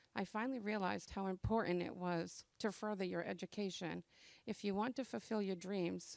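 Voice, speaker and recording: Someone with an American accent speaks at a moderate pace in a plain, everyday voice, with fairly even intonation and a dry, close sound with no echo. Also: woman. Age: 60s. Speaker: adult education graduate. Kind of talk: graduation speech. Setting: graduation ceremony with audience. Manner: reading a prepared speech.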